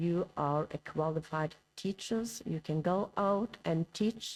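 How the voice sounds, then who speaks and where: Speaking at a very slow pace in a Norwegian accent, a woman uses a fairly low pitch and lively intonation. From Norway. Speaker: professor. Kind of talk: conference lecture. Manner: hesitant.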